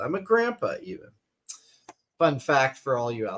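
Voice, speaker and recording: The voice carries an American accent. The pace is moderate. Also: man. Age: 40s. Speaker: podcast co-host reviewing talent show. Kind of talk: casual chat. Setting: live stream.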